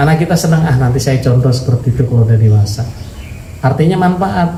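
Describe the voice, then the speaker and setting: A man with a fairly high pitch speaks with lively intonation. Noticeable background noise and audible room echo surround his voice. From West Java. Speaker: Islamic preacher. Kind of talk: religious lecture. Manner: animated. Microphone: voice muffled by face mask.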